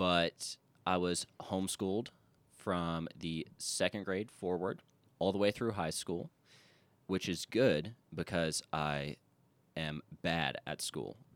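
A man with an American accent and a very deep, low pitch, ordinary pitch variation, a very slow pace and long, frequent pauses, on a very clean recording with a silent background. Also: dry, close sound with no echo. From US South, Charleston, South Carolina. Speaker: photographer and writer. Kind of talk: casual interview chat. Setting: studio, video podcast.

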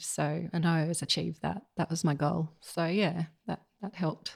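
A woman with an Australian accent at a moderate pace, fairly low in pitch, on a very clean recording with a silent background. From Australia, rural New South Wales. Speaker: war veteran. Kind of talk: interview. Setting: at home.

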